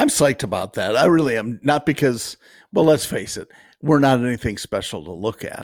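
Marked by vocal fry, a man's voice moves at a fairly quick pace. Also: medium pitch for a man, lively intonation. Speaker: podcast co-host. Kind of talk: casual chat.

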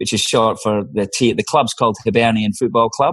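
A man talks at a medium pitch. The background is quiet. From Scotland, Leith/Edinburgh working-class. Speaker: senior barrister. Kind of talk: interview conversation.

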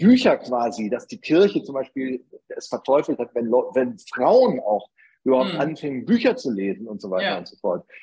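A dark, mellow tone in a northern German accent, with very wide pitch swings at a moderate pace. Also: man. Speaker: advertising agency founder. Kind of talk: interview.

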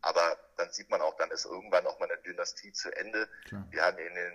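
A man talks at a moderate pace. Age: 40s. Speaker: football commentator and former player. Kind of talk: casual interview.

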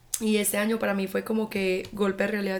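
A woman speaks at a very fast pace in a medium-pitched voice. Her intonation is monotone and flat over noticeable background noise. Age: 20s. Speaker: podcast host. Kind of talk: casual monologue. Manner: informal.

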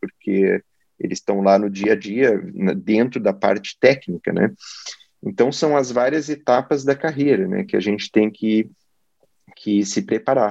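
With long, frequent pauses at a fairly slow pace, a man swings very widely around a medium pitch, his sound dry and close with no echo. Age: 40s. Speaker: oncologist. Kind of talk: interview.

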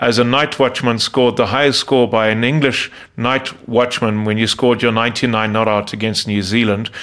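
This man has an unremarkable speaking voice, medium in pitch and moderate in pace. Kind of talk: interview.

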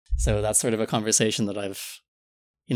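Very fast speech from a man with an American accent, fairly low in pitch, with vocal fry, very cleanly recorded against a silent background. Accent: American-sounding English. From Philippines, raised abroad as third culture kid. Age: 20s. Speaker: podcast guest. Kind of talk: casual chat.

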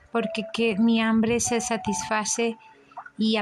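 Amid noticeable background noise, a woman with a fairly high pitch speaks at a very slow pace. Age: 40s. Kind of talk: religious reflection monologue. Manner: halting.

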